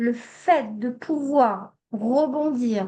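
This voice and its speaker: With a Hebrew accent, a woman talks with ordinary pitch variation. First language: Hebrew (speaking French). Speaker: psychologist and trainer. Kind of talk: online training workshop. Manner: hesitant, many fillers.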